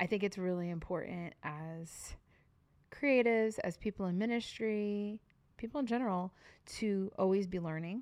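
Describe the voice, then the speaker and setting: Here a woman has an unremarkable speaking voice. She talks at a moderate pace with ordinary pitch variation. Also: medium pitch for a woman. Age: 40s. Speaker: podcast co-host, worship leader. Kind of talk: casual chat.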